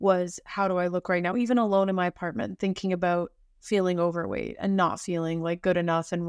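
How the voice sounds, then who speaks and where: Recorded very cleanly against a silent background, with a dry, close sound and no echo, a woman speaks at a moderate pace with fairly even intonation. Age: 20s. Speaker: podcast co-host. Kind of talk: casual chat.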